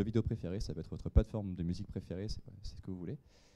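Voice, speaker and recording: Here a man talks at a very fast pace. His tone is dark and mellow. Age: 30s. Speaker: software engineer. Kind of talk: conference talk. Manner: halting, frequent fillers and repetitions.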